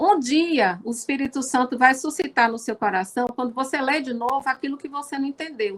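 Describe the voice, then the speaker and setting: With hardly any pauses, a woman talks at a moderate pace and a high pitch. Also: ordinary pitch variation. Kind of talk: religious talk. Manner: talkative.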